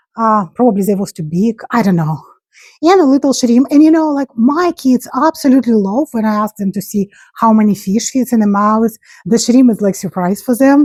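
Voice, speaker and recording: A somewhat breathy woman with lively intonation, on a very clean recording with a silent background. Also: fairly high pitch for a woman, moderate pace, dry, close sound with no echo. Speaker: crochet crafter and market seller. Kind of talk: casual craft vlog show-and-tell. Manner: halting, searching for words.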